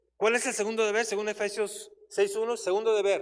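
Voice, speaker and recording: This is a man speaking. His pitch is high. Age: 60s. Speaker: church Bible teacher. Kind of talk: sermon.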